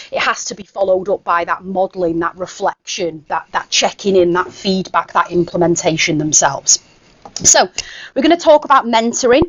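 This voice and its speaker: Fairly quick speech in a Mancunian accent with lively intonation. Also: woman, medium pitch for a woman. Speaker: education consultant and former English teacher. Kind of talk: conference workshop presentation. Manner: casual, with frequent fillers.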